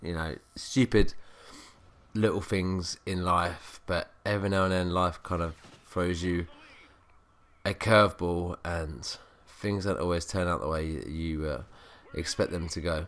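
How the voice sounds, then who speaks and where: With a very deep, low pitch and a serious tone, a man speaks at a fairly slow pace, leaving long, frequent pauses. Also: fairly even intonation, very clean recording, silent background. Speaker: gaming youtuber. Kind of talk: gameplay commentary. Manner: subdued, serious tone.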